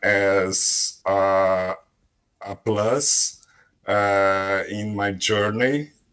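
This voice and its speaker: With a strong Brazilian accent, a man speaks in a bright, sharp tone, his pitch fairly low and his intonation fairly even. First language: Portuguese. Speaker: language learner. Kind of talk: casual group conversation. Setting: online voice chat room on a language app. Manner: halting, hesitant.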